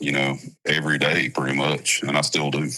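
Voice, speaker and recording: In a Southern US accent, a man speaks at a fairly slow pace with a very deep, low pitch and monotone, flat intonation. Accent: Southern American. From South Carolina. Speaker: country music singer. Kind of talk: interview answer.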